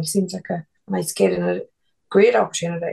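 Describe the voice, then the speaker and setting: A woman in an Irish accent speaks at a fairly quick pace. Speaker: F1 pundit and former race strategist. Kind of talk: casual chat.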